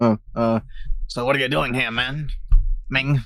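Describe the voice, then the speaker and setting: A man's put-on character voice, medium in pitch, at a very slow pace. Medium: read story. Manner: brash, blunt.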